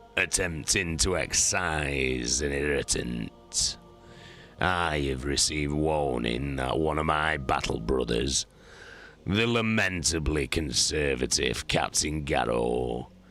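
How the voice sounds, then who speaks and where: Over clear music in the background, a man does a raspy, put-on character voice at a fairly slow pace with very even loudness. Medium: read story. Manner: cold, measured, menacing.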